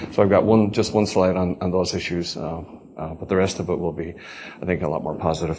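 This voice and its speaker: A man's very deep, low voice with fairly even intonation, amid audible room echo and noticeable background noise. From Ireland. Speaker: agricultural economist, professor. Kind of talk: conference presentation. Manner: hesitant, many fillers.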